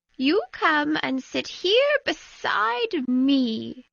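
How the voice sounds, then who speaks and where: In a put-on character voice, a woman speaks at a high pitch. Her pace is very slow. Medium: read story. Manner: clear, orderly, teacherly.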